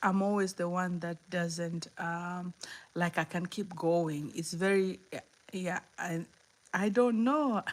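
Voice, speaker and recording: On a very clean recording with a silent background, a woman speaks with a Kenyan accent. Her voice sits fairly low and her pace is very slow. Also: ordinary pitch variation. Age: 50s. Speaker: motivational livestreamer. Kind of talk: livestream chat. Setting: live stream. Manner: halting, repeats words.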